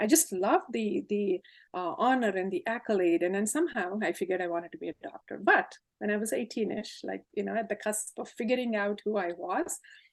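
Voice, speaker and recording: Against a quiet background, a woman with a Telugu accent talks at a fairly quick pace. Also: medium pitch for a woman, lively intonation. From India, Hyderabad. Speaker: tech leader. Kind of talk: interview, life story.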